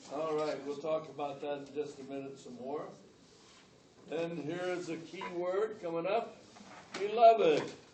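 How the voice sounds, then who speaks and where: A man at a fairly slow pace, with long, frequent pauses and big swings in loudness, over noticeable background noise. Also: fairly high pitch for a man, ordinary pitch variation. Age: 80s+. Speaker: Bible professor. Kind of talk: classroom lecture.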